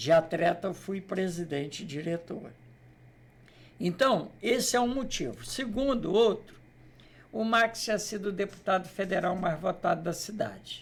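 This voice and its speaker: High-pitched man at a fairly slow pace. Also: ordinary pitch variation. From Brazil, Queimados area (Rio de Janeiro state). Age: 60s. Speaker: local politician. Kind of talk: interview.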